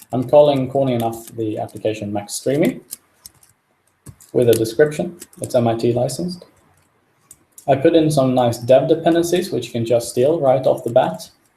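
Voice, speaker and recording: A dark, mellow tone, somewhat breathy, at a moderate pace with long, frequent pauses, in a non-native accent. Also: man, medium pitch for a man, ordinary pitch variation. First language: not English. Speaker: software developer. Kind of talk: live coding tutorial. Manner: halting, many fillers.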